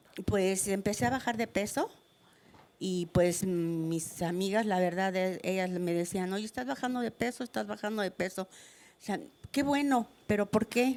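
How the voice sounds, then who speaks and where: Speaking at a fairly slow pace is a woman. She has a normal speaking voice. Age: 60s. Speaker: cancer patient in studio audience. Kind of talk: testimony.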